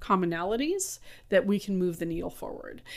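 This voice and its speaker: With a Californian accent, a woman speaks at a fairly quick pace and a medium pitch. The recording is very clean, with a silent background. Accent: Californian American. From US West Coast, San Francisco. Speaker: school administrator. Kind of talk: interview.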